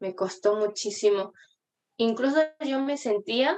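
A woman's speech is very slow, with ordinary pitch variation. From Argentina. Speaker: guest. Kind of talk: casual chat.

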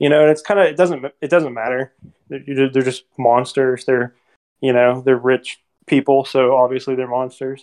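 A man with an unremarkable speaking voice and medium pitch talks at a moderate pace. His intonation is fairly even, the sound dry and close with no echo. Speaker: podcast co-host. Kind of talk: casual chat.

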